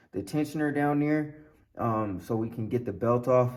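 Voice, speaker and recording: Audible room echo surrounds a man's voice. He speaks at medium pitch with fairly even intonation. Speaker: car hobbyist YouTuber. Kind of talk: casual vlog tutorial. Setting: outdoors in cold garage. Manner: fast.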